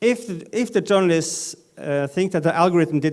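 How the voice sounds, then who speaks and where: This man speaks with a Norwegian accent. His pitch sits fairly high. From northern Norway. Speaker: data journalism editor, conference panelist. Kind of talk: conference panel talk. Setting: stage with audience. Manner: halting, many fillers.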